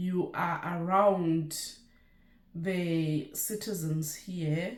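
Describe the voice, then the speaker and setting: A woman with a Lesotho accent speaks very slowly at a fairly low pitch, with audible room echo. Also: fairly even intonation. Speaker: nurse and YouTuber. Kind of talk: casual vlog chat.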